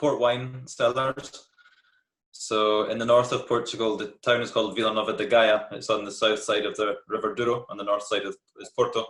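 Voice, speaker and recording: A moderate pace in a Scottish accent, with big swings in loudness. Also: man. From Scotland, Glasgow. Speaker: tour guide. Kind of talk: interview.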